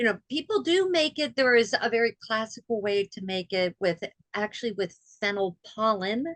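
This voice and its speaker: A woman with an ordinary speaking voice talks at a moderate pace and a fairly high pitch, with lively intonation and a dry, close sound with no echo. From US, military family, moved around. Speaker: healthcare foodservice director. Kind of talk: casual chat. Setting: podcast interview.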